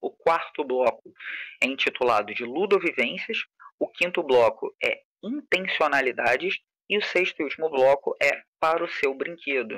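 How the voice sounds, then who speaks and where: A man's fairly high, bright and sharp voice with a Carioca accent, very wide pitch swings and a moderate pace, in a dry, close sound with no echo. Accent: carioca, chiado (hissing s). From Rio de Janeiro periphery, Brazil. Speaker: game designer and teacher. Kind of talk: online lecture. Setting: live stream with chat.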